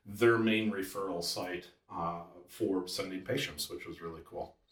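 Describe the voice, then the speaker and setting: A man with a slight Wisconsin accent and a very deep, low pitch speaks at a fairly slow pace with fairly even intonation but big swings in loudness. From Wisconsin, US Midwest. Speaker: chiropractor. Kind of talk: podcast interview.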